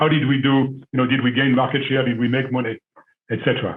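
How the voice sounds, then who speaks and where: A man speaks with a French accent. He goes at a fairly quick pace. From France. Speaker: business school alumnus, former executive. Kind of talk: panel discussion.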